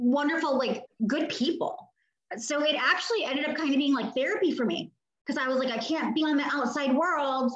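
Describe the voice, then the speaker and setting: The speaker has an American accent and talks fairly quickly with ordinary pitch variation. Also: woman. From New York, Brooklyn (Bensonhurst), later DC area. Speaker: cooking content creator. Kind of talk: casual chat. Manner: animated.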